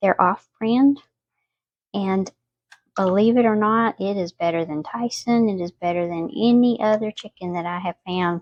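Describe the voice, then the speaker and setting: A soft-spoken woman talks with a Southern US accent at a moderate pace. Her pitch is medium, with ordinary variation. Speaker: home cooking vlogger. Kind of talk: cooking tutorial. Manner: casual, chatty.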